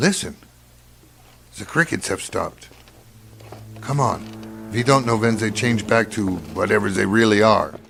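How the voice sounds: A man's put-on character voice, fairly low in pitch and fairly bright in tone, with a slightly husky edge, vocal fry, ordinary pitch variation, a fairly slow pace and long, frequent pauses.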